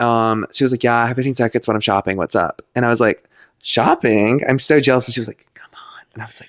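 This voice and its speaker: At a very fast pace, a man talks with fairly even intonation and big swings in loudness, the sound dry and close with no echo. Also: medium pitch for a man, very clean recording, silent background. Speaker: podcast co-host. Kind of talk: casual chat.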